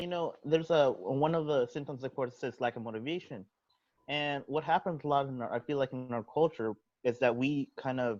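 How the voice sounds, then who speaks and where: A man speaks in a plain, everyday voice with ordinary pitch variation over a quiet background. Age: 20s. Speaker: youth mental health promoter. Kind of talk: podcast-style conversation.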